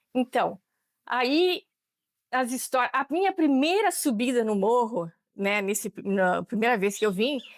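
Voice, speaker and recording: A high-pitched woman speaks fairly slowly, her pitch swinging very widely while her loudness stays very even. The recording is very clean and silent behind her, with a dry, close sound and no echo. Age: 70s. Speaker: longtime community member. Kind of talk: interview testimony. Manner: halting, with many repetitions.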